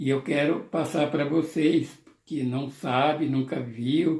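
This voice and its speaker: Somewhat breathy, a man talks at a very slow pace in a fairly high pitch with ordinary pitch variation. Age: 70s. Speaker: YouTuber. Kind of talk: nostalgic casual monologue to camera.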